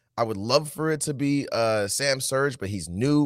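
A man speaks at a medium pitch with ordinary pitch variation. The recording is very clean with a silent background. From Nashville, Tennessee. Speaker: soccer podcast co-host. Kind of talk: casual chat.

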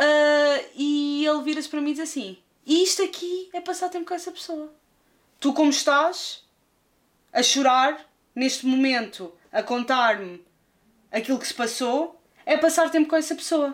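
A woman with a high-pitched voice speaks at a moderate pace with ordinary pitch variation. She leaves long, frequent pauses. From Lisbon, Portugal. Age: 20s. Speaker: YouTube film critic. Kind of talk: casual interview chat.

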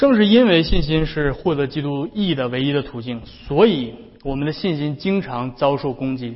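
Speaking at a moderate pace, a man with a fairly high, somewhat breathy voice uses lively intonation. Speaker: pastor. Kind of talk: sermon.

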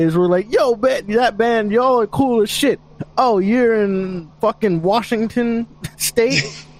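With noticeable background noise behind him, a man speaks at a fairly slow pace and high pitch, with ordinary pitch variation and very even loudness. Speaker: band vocalist and guitarist. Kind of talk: casual interview chat.

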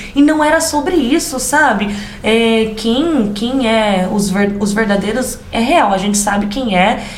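A woman with a rural São Paulo accent speaks at a fairly slow pace, with a fairly high pitch and lively intonation. Noticeable background noise and audible room echo surround her. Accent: Brazilian caipira accent (rural São Paulo). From interior of São Paulo state, Brazil. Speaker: podcast co-host, immigrant, children's educator. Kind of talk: casual chat. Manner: loud; talkative.

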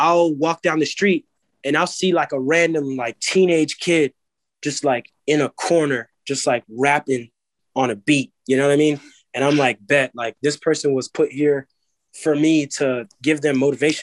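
Speaking at a moderate pace with an American accent, a man has an ordinary speaking voice, fairly high in pitch, with fairly even intonation. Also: dry, close sound with no echo. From Maryland, Montgomery County (US Mid-Atlantic). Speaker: talent manager. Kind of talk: casual interview chat. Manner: casual, filler-heavy.

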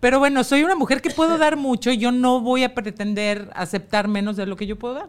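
A woman with a high pitch and lively intonation talks at a fairly quick pace, hardly pausing at all. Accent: Mexican. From Mexico. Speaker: TV presenter and model. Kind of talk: casual chat.

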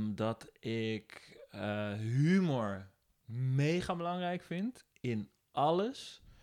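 A man speaks at a very slow pace in a fairly high voice. His pitch swings very widely. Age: 30s. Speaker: composer and former radio DJ. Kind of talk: casual interview chat.

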